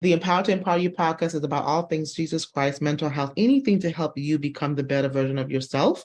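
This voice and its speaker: With hardly any pauses, a woman speaks at a very fast pace in a very deep, low voice with ordinary pitch variation. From Caribbean island. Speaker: podcast host. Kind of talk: interview podcast. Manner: animated.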